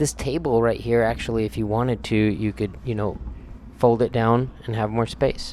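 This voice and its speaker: Moderate tempo, fairly even intonation, a normal speaking voice. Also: man, medium pitch for a man. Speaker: tiny house tour vlogger. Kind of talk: casual tour narration. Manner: informal, filler-heavy.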